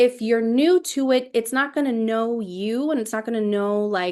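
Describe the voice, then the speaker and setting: This is a woman with an ordinary speaking voice, talking at a fairly quick pace and a fairly high pitch. Her intonation is lively against a quiet background. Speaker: travel agent trainer. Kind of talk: training webinar. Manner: casual, many fillers.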